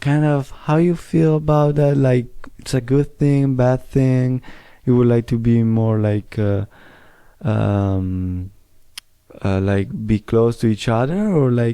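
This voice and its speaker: A man with an Italian accent, medium in pitch and dark and mellow in tone, at a very slow pace with ordinary pitch variation. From Italy. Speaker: interviewer. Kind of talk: interview.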